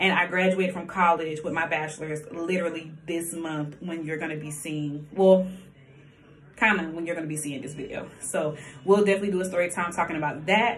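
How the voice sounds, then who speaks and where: A woman with an American accent, fairly low-pitched, at a fairly quick pace with fairly even intonation, big swings in loudness, noticeable background noise and audible room echo. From US South, Columbia, South Carolina. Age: 20s. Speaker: vlogger. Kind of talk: casual chat.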